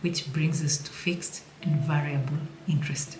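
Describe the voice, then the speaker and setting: A woman speaks at a moderate pace in a very deep, low voice with fairly even intonation and a non-native accent. Noticeable background noise and audible room echo fill the recording. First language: not English. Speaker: personal finance educator. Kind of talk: tutorial. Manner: casual, playful.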